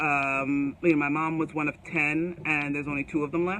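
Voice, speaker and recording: A woman speaks with an American accent in a very deep, low voice. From US, Jamaican family. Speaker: author and leadership coach. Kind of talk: live stream book launch talk. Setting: Facebook live video. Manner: animated.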